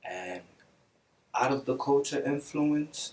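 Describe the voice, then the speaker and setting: A man with a Belizean accent speaks at a fairly slow pace. His voice is fairly high, with ordinary pitch variation. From Brooklyn, New York City. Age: young. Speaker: musician. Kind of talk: interview.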